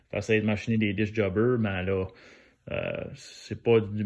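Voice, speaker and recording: Speaking at a fairly slow pace in a strong New Brunswick accent, a man keeps a fairly low pitch and a monotone, flat intonation. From New Brunswick, Canada (Acadian). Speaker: DIY car maintenance youtuber. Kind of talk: tutorial. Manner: hesitant, many fillers; casual.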